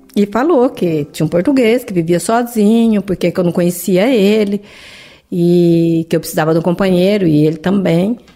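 Her medium-pitched voice has a dark, mellow tone, and the woman speaks with lively intonation. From Brazil, Paraná. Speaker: immigrant interviewee. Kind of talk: interview testimony.

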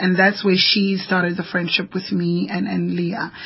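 Noticeable background noise sits behind a woman's voice. She speaks at a fairly slow pace with a fairly low pitch. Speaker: human trafficking activist and author, radio guest. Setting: radio studio.

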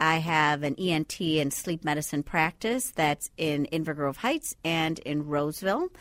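A woman speaks with a slight Bahamian accent at a fairly low pitch and a fairly slow pace. The recording is very clean, with a silent background. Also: dry, close sound with no echo. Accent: faint Bahamian. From Bahamas. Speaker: sleep medicine doctor. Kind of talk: radio interview.

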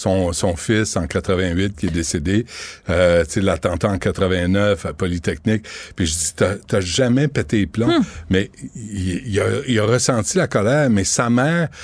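This man talks very slowly, his pitch fairly low. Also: ordinary pitch variation. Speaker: radio host and documentary maker. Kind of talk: interview. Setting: studio.

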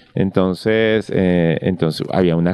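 The speaker is a man going at a fairly slow pace. His pitch variation is ordinary. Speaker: novelist and screenwriter. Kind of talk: casual interview chat. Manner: halting, many fillers.

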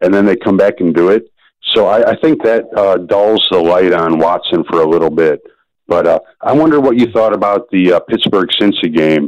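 Talking in an unremarkable speaking voice, a man with a fairly low pitch keeps a moderate pace, very even loudness and lively intonation. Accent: American. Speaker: caller. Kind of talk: radio call-in chat. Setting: phone call.

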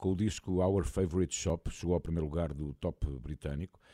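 Dark and mellow in tone, a man talks at a fairly quick pace. The recording is very clean, with a silent background. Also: dry, close sound with no echo. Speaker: radio host. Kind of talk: casual chat.

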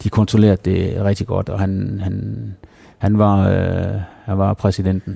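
In a dark, mellow tone, a man with a fairly low pitch speaks at a very slow pace with monotone, flat intonation. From Denmark, Herning (Jutland). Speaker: former professional cyclist. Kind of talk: interview. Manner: halting, many repetitions.

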